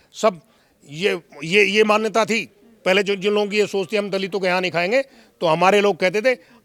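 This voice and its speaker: The pace here is moderate. A man delivers the words in a high voice. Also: fairly even intonation. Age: 70s. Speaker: interviewee. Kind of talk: interview. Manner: formal.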